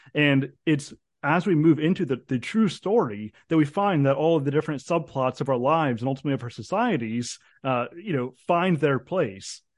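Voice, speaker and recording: A man with a fairly high pitch talks at a moderate pace in an unremarkable speaking voice. His intonation is lively, and the background is quiet. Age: 30s. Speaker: philosophy PhD candidate. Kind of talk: interview.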